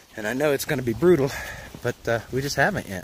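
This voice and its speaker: Noticeable background noise surrounds this voice. A man talks at medium pitch and a fairly quick pace. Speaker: hiker vlogger. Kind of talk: casual vlog narration. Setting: outdoors on mountain trail.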